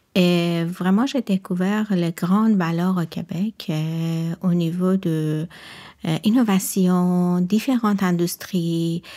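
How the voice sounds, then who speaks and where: A woman with a slight non-native accent talks very slowly in a fairly low, dark, mellow voice with fairly even intonation, in a very clean recording with a silent background. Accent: slight foreign. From Iran. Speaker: research and quality lab employee. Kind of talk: podcast interview. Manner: halting.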